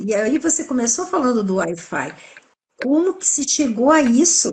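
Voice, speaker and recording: A woman speaks in a high pitch at a moderate pace. Her pitch swings very widely. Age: 60s. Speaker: holistic health specialist. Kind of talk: live-stream interview, explanatory talk. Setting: online live stream.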